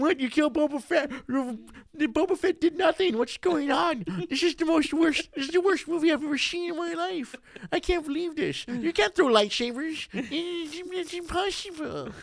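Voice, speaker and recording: Using a put-on character voice, the speaker whines in a high pitch at a moderate pace. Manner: whiny, complaining.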